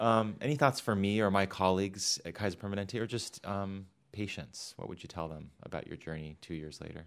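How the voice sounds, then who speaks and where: A man with an ordinary speaking voice talks at a fairly quick pace, fairly low in pitch, with ordinary pitch variation and hardly any pauses. The recording is very clean, against a silent background. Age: 40s. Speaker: physician and interviewer. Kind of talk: interview.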